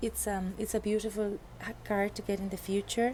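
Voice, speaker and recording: A woman's dark, mellow, somewhat breathy voice with monotone, flat intonation. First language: not English. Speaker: tarot reader. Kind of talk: tarot reading monologue. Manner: halting, many fillers and restarts.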